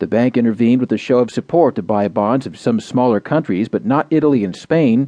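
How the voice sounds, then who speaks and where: A man speaks in an ordinary speaking voice at medium pitch. His intonation is lively and his pace fairly quick. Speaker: audio news digest narrator. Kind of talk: scripted news digest reading. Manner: formal; measured, even newsreader delivery.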